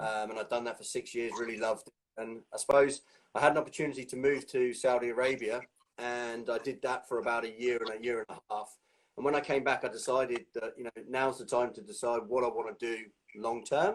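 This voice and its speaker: In an English accent, a man speaks at a fairly quick pace with a medium pitch and fairly even intonation. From England. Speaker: strength and conditioning coach. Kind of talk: interview.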